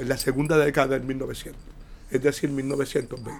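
A man's fairly slow delivery comes through with noticeable background noise behind it. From Puerto Rico, Santurce (San Juan). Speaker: retired sociologist and professor. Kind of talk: casual interview.

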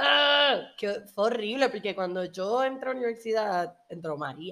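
Fairly high pitch from a woman, with ordinary pitch variation, on a very clean recording with a silent background. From Puerto Rico. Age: 20s. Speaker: podcast host. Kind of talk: personal monologue.

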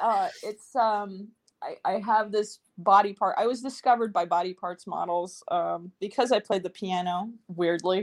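A woman speaks in a plain, everyday voice at a fairly slow pace, with fairly even intonation and hardly any pauses. The recording is very clean, with a silent background. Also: medium pitch for a woman. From New York City. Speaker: actress and puppeteer. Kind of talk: casual chat.

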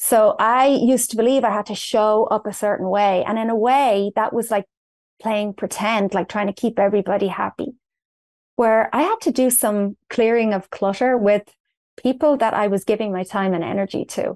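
Fairly even intonation from a woman with an Irish accent, her fairly high voice at a moderate pace, with a dry, close sound with no echo against a quiet background. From Ireland, north Dublin. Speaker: personal development coach. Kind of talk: interview.

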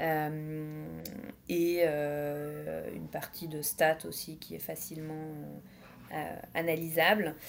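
A woman speaks very slowly in a very deep, low voice, her intonation flat and monotone. Long pauses come often, and her loudness swings widely. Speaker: fashion brand co-founder. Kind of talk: podcast interview.

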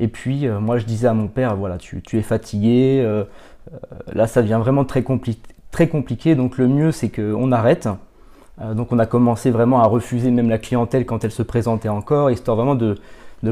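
A man talks at a moderate pace with fairly even intonation. His pitch sits in the medium range. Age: 30s. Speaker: professional coach and consultant. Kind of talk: podcast interview. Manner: halting, many repetitions and fillers.

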